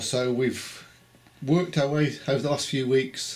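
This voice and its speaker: There is noticeable background noise. Over it, a man speaks at a fairly slow pace. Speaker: interviewer. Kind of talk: casual interview questions.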